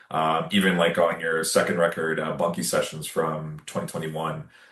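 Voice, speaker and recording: This speaker moves at a fairly quick pace with a Canadian accent. There is noticeable background noise. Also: man. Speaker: podcast host. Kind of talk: casual interview chat.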